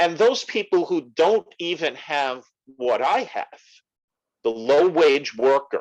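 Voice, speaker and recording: A man talks in a high voice at a very slow pace. His pitch swings very widely. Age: 70s. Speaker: retired nurse. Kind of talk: interview.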